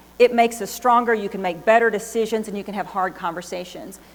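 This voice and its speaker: This woman has a fairly high pitch and speaks with a Texan accent. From Texas. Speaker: business executive. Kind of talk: keynote speech. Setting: stage with audience.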